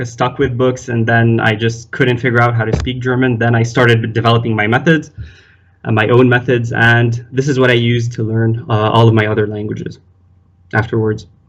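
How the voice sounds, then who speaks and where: A man with an Arabic accent, medium pitch, moderate pace and monotone, flat intonation. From Lebanon. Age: 20s. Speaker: polyglot, physiotherapy student. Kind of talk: casual chat.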